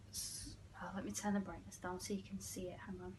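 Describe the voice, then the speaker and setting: With an English accent, a woman speaks at a moderate pace amid audible room echo. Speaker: YouTuber. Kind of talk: casual chat.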